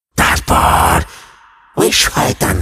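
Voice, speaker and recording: A man performs a cartoonish character voice with a menacing tone. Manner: menacing, vengeful.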